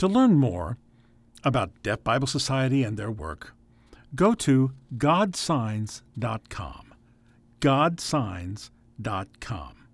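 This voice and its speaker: A man with an American accent at a very slow pace, with very wide pitch swings and long, frequent pauses, in a very clean recording with a silent background. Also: medium pitch for a man. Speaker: radio host. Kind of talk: radio program hosting.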